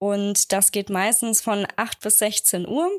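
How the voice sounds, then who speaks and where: The sound is dry and close, with no echo. A woman speaks on a very clean recording with a silent background. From Germany, Aschaffenburg (Lower Franconia). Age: 20s. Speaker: wedding photographer. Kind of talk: interview, casual chat.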